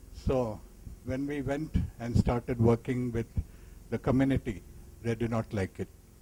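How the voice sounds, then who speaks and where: Here a man speaks with a dark, mellow tone that is somewhat breathy. His intonation stays fairly even. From India, Tamil Nadu. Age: 70s. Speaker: physician. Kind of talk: casual reminiscence. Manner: halting.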